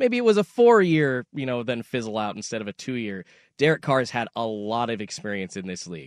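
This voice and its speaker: A plain, everyday voice from a man at medium pitch, fairly quick and lively in intonation, with big swings in loudness and a dry, close sound with no echo. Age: 30s. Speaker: fill-in sports radio co-host. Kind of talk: sports radio talk. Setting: radio studio.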